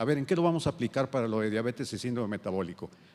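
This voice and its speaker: A man speaks with very wide pitch swings. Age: 70s. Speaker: endocrinologist. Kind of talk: lecture. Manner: halting.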